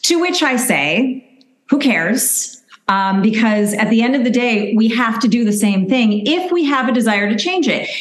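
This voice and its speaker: The woman has an unremarkable speaking voice, fairly high in pitch, with lively intonation. Her loudness stays very even at a moderate pace. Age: 50s. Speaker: registered dietitian. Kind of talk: interview.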